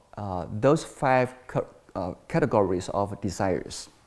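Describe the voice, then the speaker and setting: Moderate pace in a Chinese accent. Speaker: Buddhist monastic teacher. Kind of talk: dharma talk. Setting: temple. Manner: halting, with frequent fillers.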